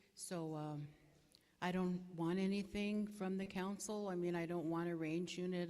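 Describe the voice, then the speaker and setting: A woman speaks at a moderate pace in a fairly low pitch, her dark, mellow tone and monotone, flat intonation carried with audible room echo. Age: 60s. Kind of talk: candidate forum speech. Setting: community hall forum with audience, live broadcast. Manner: hesitant, many fillers.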